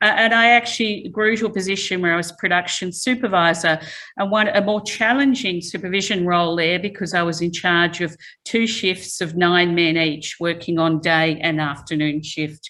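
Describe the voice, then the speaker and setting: With an Australian accent, a woman speaks at a moderate pace in a bright, sharp tone, her fairly low pitch varying in an ordinary way. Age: 60s. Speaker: chemical engineering professor. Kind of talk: lecture. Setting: talk with live and online audience.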